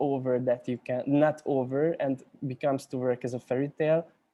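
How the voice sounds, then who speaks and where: A man in a Hungarian accent speaks fairly slowly at a medium pitch, his tone dark and mellow and his intonation monotone and flat. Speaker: cinematographer. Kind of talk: panel discussion. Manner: halting, many repetitions and fillers.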